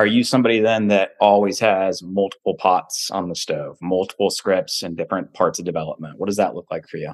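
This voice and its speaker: An unremarkable speaking voice moves at a fairly quick pace with hardly any pauses. Its intonation stays fairly even, and the sound is dry and close with no echo. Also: man, fairly low pitch for a man. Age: 30s. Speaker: podcast host. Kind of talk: casual interview chat.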